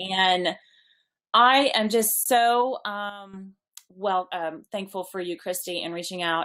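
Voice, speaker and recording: A woman at a medium pitch with ordinary pitch variation has an ordinary speaking voice. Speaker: network marketing business leader. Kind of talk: online webinar presentation.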